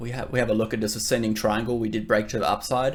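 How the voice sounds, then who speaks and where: The speech comes very fast. It carries an Australian accent. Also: man. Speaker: crypto trader and YouTuber. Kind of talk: market analysis tutorial. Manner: casual with filler words.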